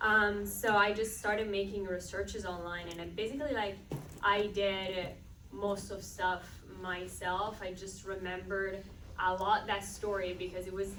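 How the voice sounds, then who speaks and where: With an Italian accent, a woman speaks at a medium pitch amid noticeable background noise and audible room echo. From Italy. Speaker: film director. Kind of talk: panel Q&A answer. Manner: casual, filler-heavy.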